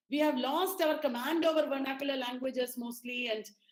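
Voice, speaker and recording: A woman's high-pitched voice moves at a moderate pace with fairly even intonation, and audible room echo surrounds it. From Kerala, India. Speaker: lecturer, resource person. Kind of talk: lecture. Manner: halting, many fillers.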